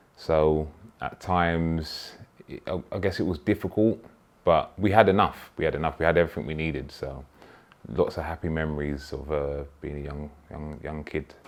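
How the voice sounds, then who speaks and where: A man with a London accent speaks at a moderate pace in a very deep, low pitch, his intonation fairly even and his loudness swinging widely. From London (Peckham). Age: 30s. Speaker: footballer, club captain. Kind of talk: interview. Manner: halting.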